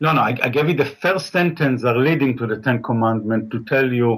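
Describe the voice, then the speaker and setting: A man with a medium pitch talks at a moderate pace in an ordinary speaking voice, his pitch varying in an ordinary way. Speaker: caller. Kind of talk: call-in debate.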